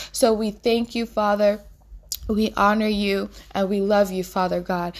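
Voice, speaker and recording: A woman at a moderate pace and medium pitch, with a warm tone and monotone, flat intonation. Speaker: minister and podcast host. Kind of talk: fervent prayer, spoken aloud to God. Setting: podcast recording, addressing listeners. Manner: warm, earnest, pleading, with repeated invocations; heartfelt, intimate, devotional.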